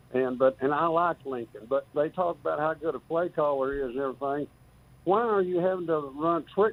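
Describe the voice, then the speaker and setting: This man speaks with a West Texas accent and a fairly high pitch. His pace is moderate and his pitch varies in an ordinary way. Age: 70s. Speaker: caller. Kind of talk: call-in sports talk.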